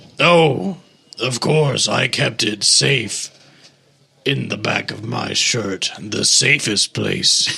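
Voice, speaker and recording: Doing a put-on character voice, a man speaks raspily at a medium pitch and a very slow pace. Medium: actual play. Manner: broken, simple grammar; cheerful and boastful.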